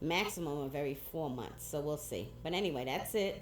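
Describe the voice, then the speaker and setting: Amid audible room echo, a woman with vocal fry talks at a moderate pace with ordinary pitch variation. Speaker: cancer patient vlogger. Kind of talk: casual vlog monologue.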